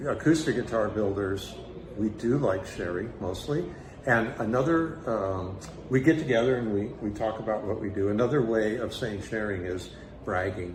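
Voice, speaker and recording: Room echo and background noise are both noticeable. A man speaks at a moderate pace with a fairly low pitch and ordinary pitch variation. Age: 70s. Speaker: guitar company co-founder. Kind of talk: interview. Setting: event at a guitar building school.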